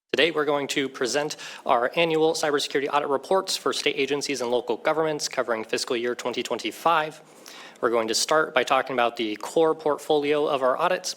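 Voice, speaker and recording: Talking at a fairly quick pace, a man with a fairly high voice uses ordinary pitch variation. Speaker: government cybersecurity auditor. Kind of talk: formal presentation at a legislative hearing. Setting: committee hearing room with microphone. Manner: loud; formal.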